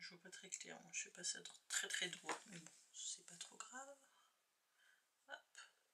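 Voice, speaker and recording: A soft-spoken woman with a high, bright, sharp voice talks at a very slow pace, leaving long, frequent pauses. Her pitch swings very widely and her loudness rises and falls in big swings. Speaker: crafting youtuber. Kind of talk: tutorial.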